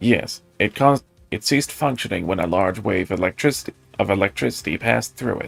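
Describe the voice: Over faint music in the background, a man puts on a nasal character voice, fairly low in pitch, with lively intonation at a very fast pace, the sound dry and close with no echo.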